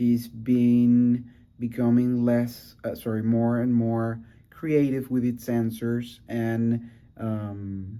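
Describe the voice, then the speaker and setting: A man's medium-pitched voice with a dark, mellow tone and a Venezuelan accent, in audible room echo. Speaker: student podcast host. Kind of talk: casual podcast conversation. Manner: halting, with many fillers.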